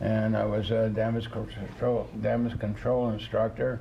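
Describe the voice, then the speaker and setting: Room echo is audible as a man speaks at a very slow pace. His medium pitch holds a monotone, flat intonation. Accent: American. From New York State, US. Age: 80s+. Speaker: retired ship captain. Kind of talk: interview.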